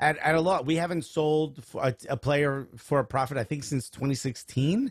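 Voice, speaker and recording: The voice has an American accent and is somewhat breathy, with ordinary pitch variation at a moderate pace. The recording is very clean, with a silent background. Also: man. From US Northeast, Newark, New Jersey. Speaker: stand-up comedian and soccer show host. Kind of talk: casual chat.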